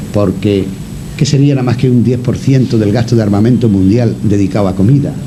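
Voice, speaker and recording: A man speaks at medium pitch with ordinary pitch variation. Noticeable background noise sits behind him. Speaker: radio broadcaster. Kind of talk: radio interview answer.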